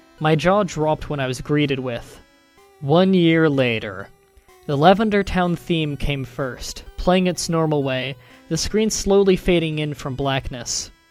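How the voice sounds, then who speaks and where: A moderate pace over music in the background. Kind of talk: horror story reading.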